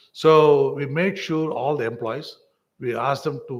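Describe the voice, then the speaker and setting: This man's voice is somewhat breathy. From India, Tamil Nadu. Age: 60s. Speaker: vaccine company executive. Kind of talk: lecture Q&A.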